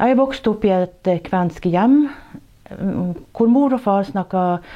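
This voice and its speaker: Over a quiet background, a woman speaks at a fairly slow pace. Her tone is dark and mellow. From Børselv, Porsanger, Finnmark, northern Norway. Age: 60s. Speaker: nurse. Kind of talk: personal testimony and storytelling. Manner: halting, with many hesitations.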